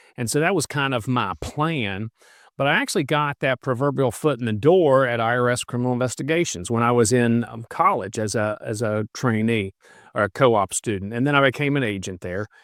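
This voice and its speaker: A man talks at a fairly quick pace in a West Virginia accent, with a medium pitch and ordinary pitch variation. The sound is dry and close with no echo, in a very clean recording with a silent background. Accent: West Virginia accent, noticeable. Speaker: retired federal agent and law professor. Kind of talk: podcast interview.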